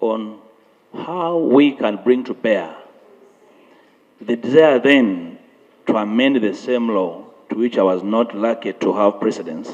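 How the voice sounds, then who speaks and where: Over noticeable background noise, a man of medium pitch talks at a fairly slow pace with lively intonation and long, frequent pauses. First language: not English. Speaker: member of parliament. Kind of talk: parliamentary debate. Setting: parliament chamber. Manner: formal.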